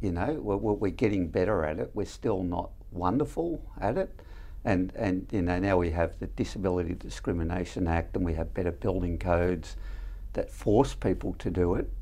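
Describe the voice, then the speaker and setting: In an Australian accent, a man with a very deep, low pitch and a dark, mellow tone talks at a moderate pace with ordinary pitch variation. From Melbourne western suburbs, Australia. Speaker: housing company CEO. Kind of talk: interview.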